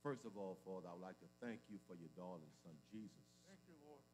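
Light background noise is present. The man keeps to a moderate pace. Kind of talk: spoken prayer. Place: church. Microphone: podium.

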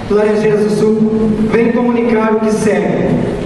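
A high-pitched man's voice at a very slow pace, with noticeable background noise and strong room echo. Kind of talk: formal reading aloud.

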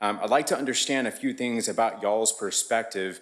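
With an American accent, a man talks at a fairly low pitch and with fairly even intonation. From Texas, Dallas. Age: 30s. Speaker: public commenter, realtor. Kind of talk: public comment. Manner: casual.

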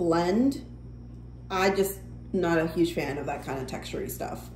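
A woman speaking at a fairly slow pace, with audible room echo and light background noise. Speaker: vlogger. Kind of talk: casual vlog chat. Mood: relaxed, mildly critical. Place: home room. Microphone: phone near.

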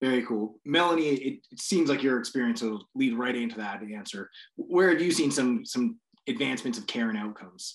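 Against a quiet background, a man talks at a fairly quick pace with lively intonation and big swings in loudness. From Canada, British Columbia. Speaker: panel moderator. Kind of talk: panel discussion. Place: home room. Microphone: video call.

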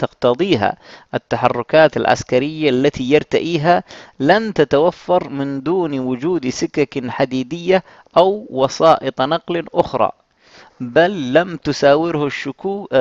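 Speaking at a very slow pace, a man with a fairly high pitch is heard in a dry, close recording with no echo, his pitch varying in an ordinary way. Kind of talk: audiobook narration, reading aloud a translated history book. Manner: formal, measured, steady literary delivery; occasionally breaks off to clarify a phrase in his own words.

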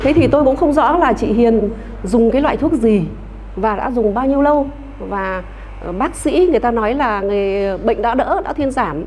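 A woman speaks with a high pitch and lively intonation. Her pace is moderate, with light background noise behind her. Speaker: traditional medicine doctor; panelist. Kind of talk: panel discussion. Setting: studio. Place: hall. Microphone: handheld.

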